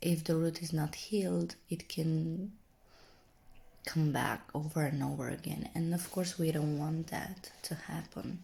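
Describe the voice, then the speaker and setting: Soft-spoken delivery at a fairly slow pace. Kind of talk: ASMR reflective talk to camera.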